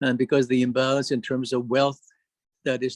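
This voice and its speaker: A man at a moderate pace, flat and monotone in intonation. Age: 70s. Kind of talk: symposium talk. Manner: halting, many fillers.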